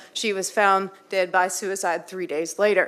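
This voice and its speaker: A woman in a Texas accent, medium-pitched and monotone with flat intonation, at a fairly slow pace. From Texas, Waller County. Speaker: public commenter. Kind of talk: public comment speech. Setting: city council chamber.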